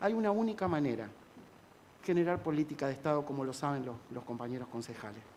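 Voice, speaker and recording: Intonation rises and falls in a lively way. The pace is fairly quick. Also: man. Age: 60s. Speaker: government climate official. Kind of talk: panel speech. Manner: halting.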